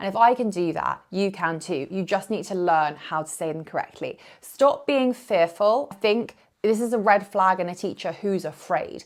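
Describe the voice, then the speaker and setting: On a very clean recording with a silent background, a woman with a British accent speaks at medium pitch and a moderate pace, with ordinary pitch variation. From UK, Indian heritage. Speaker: yoga teacher. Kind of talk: vlog to camera.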